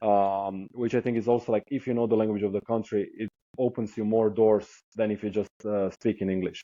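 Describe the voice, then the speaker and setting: This man has a Croatian accent and a fairly low pitch. He talks at a fairly quick pace with monotone, flat intonation. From southern coastal Croatia. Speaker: traveler, hitchhiker. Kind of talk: podcast interview. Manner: hesitant, with fillers.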